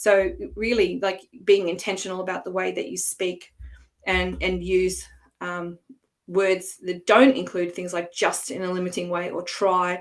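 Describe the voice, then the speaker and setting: A woman speaks in an Australian accent. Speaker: coach and former language teacher. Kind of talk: online workshop presentation. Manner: hesitant, many fillers.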